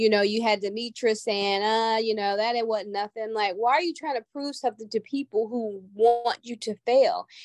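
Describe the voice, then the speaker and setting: This woman has a normal speaking voice, a fairly high pitch, ordinary pitch variation, and a moderate pace. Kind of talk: casual chat. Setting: video call.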